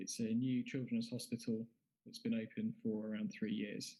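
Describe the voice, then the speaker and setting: Speaking in a British accent, a man keeps to a moderate pace. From UK. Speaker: anaesthesiologist. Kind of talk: conference lecture.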